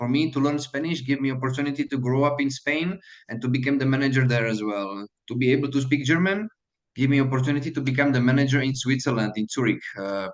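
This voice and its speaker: A man with a Slovak accent speaks very fast at a medium pitch, with ordinary pitch variation. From Slovakia. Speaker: hotel manager. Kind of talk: mentoring talk to students. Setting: video call. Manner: halting, many fillers.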